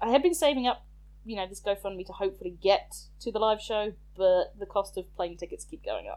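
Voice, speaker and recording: Her loudness swinging widely, a woman speaks at a fairly quick pace. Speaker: podcast host. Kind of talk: casual chat. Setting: remote recording.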